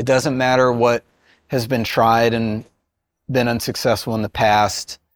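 A plain, everyday voice is heard at a moderate pace on a very clean recording with a silent background. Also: man. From West Virginia, rural small town. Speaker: entrepreneur, game company founder. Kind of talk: interview testimony.

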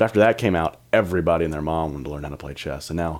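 Very deep and low in pitch, a man speaks with an American accent and vocal fry. His pitch varies ordinarily, and the recording is very clean with a silent background. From US South, South Carolina (Myrtle Beach area). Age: 20s. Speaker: college student and intern. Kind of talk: casual interview.

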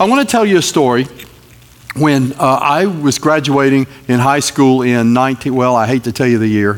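A man with an American accent and an unremarkable speaking voice, medium in pitch, moderate in pace, with ordinary pitch variation and very even loudness. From North Carolina. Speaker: guest preacher. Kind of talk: sermon. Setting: church.

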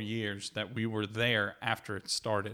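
A man speaks fairly slowly in a medium pitch with a bright, sharp tone. The recording is very clean, with a silent background. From New Orleans. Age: 30s. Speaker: host's husband. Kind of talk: casual interview chat.

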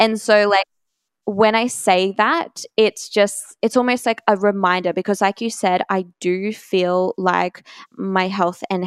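A woman with an Australian accent speaks at a fairly slow pace and medium pitch, with fairly even intonation. The recording is very clean, with a silent background and a dry, close sound with no echo. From Australia, Brisbane. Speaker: health coach. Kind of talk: casual interview chat.

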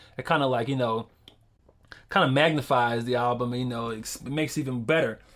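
A man's medium-pitched voice with an American accent, very fast pace and fairly even intonation. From Philadelphia, US. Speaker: rapper and video maker. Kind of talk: casual interview.

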